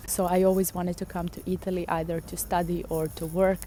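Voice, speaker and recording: A woman with a Serbian accent, talking at a moderate pace. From Serbia, Belgrade. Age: 20s. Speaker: vlogger. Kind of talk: casual vlog talk to camera. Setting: outdoors in a park.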